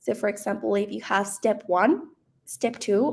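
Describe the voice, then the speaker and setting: Speaking at a fairly slow pace, a woman uses a fairly high pitch with vocal fry and ordinary pitch variation. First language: not English. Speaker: founder, AI content expert. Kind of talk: webinar presentation.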